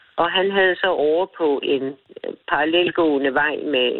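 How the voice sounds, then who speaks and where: With ordinary pitch variation, the speech unfolds at a very slow pace. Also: woman. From Falster, Denmark. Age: 70s.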